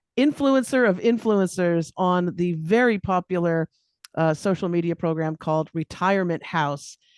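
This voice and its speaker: A woman's medium-pitched voice, animated in tone and lively in intonation, dry and close with no echo over a quiet background. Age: 50s. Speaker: podcast host. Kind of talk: interview.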